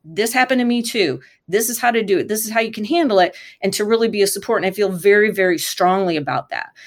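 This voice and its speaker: In a plain, everyday voice, a woman speaks at a medium pitch with lively intonation. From Michigan, US. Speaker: sports lawyer. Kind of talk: interview.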